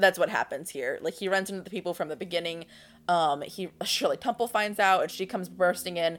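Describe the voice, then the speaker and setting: Recorded very cleanly against a silent background, a woman with a normal speaking voice talks at a medium pitch and a fairly quick pace, with ordinary pitch variation. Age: 20s. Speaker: podcast co-host. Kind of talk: casual chat.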